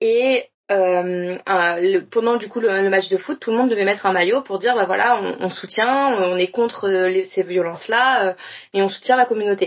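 A woman with a medium pitch talks at a moderate pace with ordinary pitch variation. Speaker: podcast guest. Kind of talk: casual chat.

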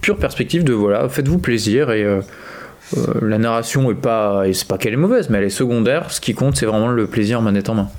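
A man talks fairly quickly in a normal speaking voice at a medium pitch. His intonation is lively. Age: 20s. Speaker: podcast co-host, teacher. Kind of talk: casual chat.

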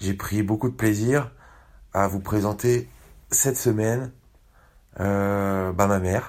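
Very slowly and with long, frequent pauses, a man with a Parisian accent speaks at a fairly low pitch with ordinary pitch variation, in a very clean recording with a silent background. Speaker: podcast host. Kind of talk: casual podcast narration.

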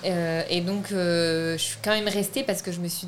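The delivery is monotone with flat intonation at a fairly slow pace. Noticeable background noise sits under the voice. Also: woman. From France. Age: 20s. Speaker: film director. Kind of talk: interview.

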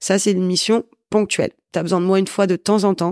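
Recorded very cleanly with a silent background and a dry, close sound with no echo, a woman speaks at a fairly quick pace in a medium pitch with monotone, flat intonation. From northern France, Valenciennes. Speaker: business owner, sales and networking consultant. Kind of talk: interview.

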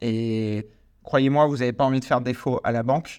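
In a normal speaking voice, a man talks at a moderate pace with medium pitch and fairly even intonation against a quiet background. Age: 20s. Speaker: podcast host and real estate investor. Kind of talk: solo podcast monologue. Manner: casual, with many fillers.

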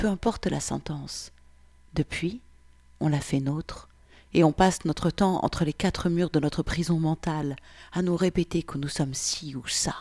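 Recorded very cleanly against a silent background, dry and close with no echo, a woman uses an ordinary speaking voice at a fairly low pitch, with ordinary pitch variation and a moderate pace. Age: 30s. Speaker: podcaster reading personal essay. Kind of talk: personal monologue reading.

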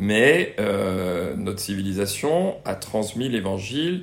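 A man talks with lively intonation in a fairly low pitch. Audible room echo surrounds his voice. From Brittany, France. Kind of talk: interview. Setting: in-person interview at a student residence. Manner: hesitant, many fillers and repetitions.

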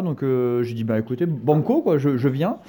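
A man uses an unremarkable speaking voice with fairly even intonation. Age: 20s. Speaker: football fan, podcast regular. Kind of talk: casual chat.

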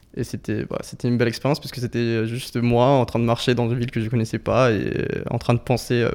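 Speaking at a fairly quick pace, a man at medium pitch keeps a monotone, flat intonation throughout. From Colombia, Bogotá. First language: Spanish (speaking French). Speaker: physics student. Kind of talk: casual chat.

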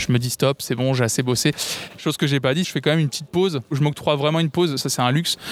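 A man talks at a very fast pace in a fairly high pitch, his intonation fairly even. The sound is dry and close with no echo, though background noise is noticeable. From France, Tours. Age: 20s. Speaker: music streamer. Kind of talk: casual interview.

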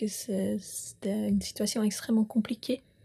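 This woman talks at a fairly slow pace with a fairly high pitch. Her tone is dark and mellow, and somewhat breathy. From Switzerland, Bern (Bümpliz). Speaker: farmer. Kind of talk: interview.

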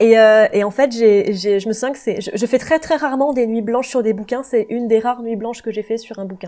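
A woman talks at a fairly quick pace with hardly any pauses. Her fairly high voice has a dark, mellow tone and fairly even intonation. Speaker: YouTuber. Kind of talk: casual chat. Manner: relaxed.

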